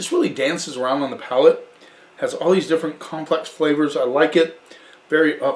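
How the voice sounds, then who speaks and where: A man puts on a raspy character voice at a fairly high pitch. He moves at a fairly quick pace. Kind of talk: casual wine tasting talk. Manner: enthusiastic, appreciative.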